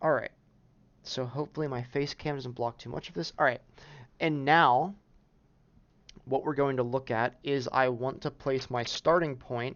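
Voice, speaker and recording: A man with a medium-pitched voice talks at a moderate pace, his intonation fairly even. He leaves long pauses often. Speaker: peer math tutor. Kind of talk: tutorial. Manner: hesitant, many fillers.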